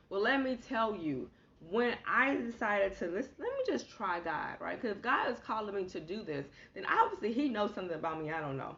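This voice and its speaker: A woman's medium-pitched voice at a fairly quick pace, with very wide pitch swings, over noticeable background noise. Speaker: motivational speaker and author. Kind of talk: inspirational livestream teaching. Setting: live stream. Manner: fast.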